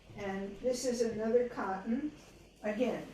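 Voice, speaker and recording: With audible room echo around her, a woman speaks at a moderate pace and a fairly high pitch, using ordinary pitch variation. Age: 70s. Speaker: Odissi dance teacher and researcher. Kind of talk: webinar lecture with costume demonstration. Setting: video call webinar. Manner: conversational, hesitant fillers.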